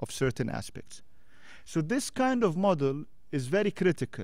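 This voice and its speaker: In an Arabic accent, a man speaks at a moderate pace. The background is quiet and the sound is dry with no echo. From Jordan. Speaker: former diplomat. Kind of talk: panel discussion talk. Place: hall. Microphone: podium.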